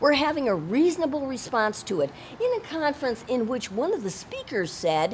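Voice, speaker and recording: At a fairly quick pace, a woman speaks at a high pitch with very wide swings while noticeable background noise plays behind her. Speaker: citizen journalist and protester. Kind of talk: heated confrontation. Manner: loud; animated.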